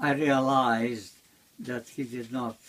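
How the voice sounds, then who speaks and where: A man speaks with ordinary pitch variation. Light background noise can be heard. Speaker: interviewee. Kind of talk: interview answer. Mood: calm reminiscing. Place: home room.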